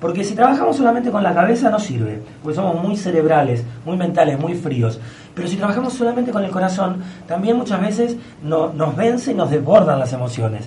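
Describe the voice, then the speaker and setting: Amid noticeable background noise and audible room echo, a man talks in an animated tone at a fairly quick pace, his high pitch making very wide swings. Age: 30s. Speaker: astrologer. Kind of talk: radio interview.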